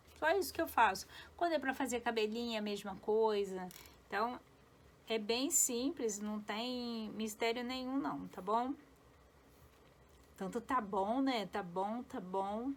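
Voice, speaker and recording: A woman speaks at a fairly slow pace in a fairly high pitch, with long, frequent pauses. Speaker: felt craft tutorial maker. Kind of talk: tutorial. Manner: chatty.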